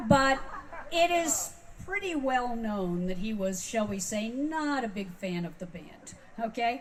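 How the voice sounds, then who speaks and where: Very slow speech from a woman, fairly high in pitch and somewhat breathy, with very wide pitch swings. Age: 60s. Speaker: music industry veteran speaking at a fan convention. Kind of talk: convention talk. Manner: animated.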